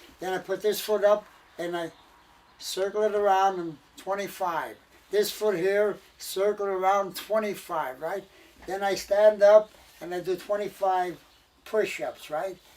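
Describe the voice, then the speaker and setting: Speaking at a fairly slow pace with long, frequent pauses, a man with a high pitch and an American accent keeps his intonation fairly even. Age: 80s+. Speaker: war veteran. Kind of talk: casual storytelling.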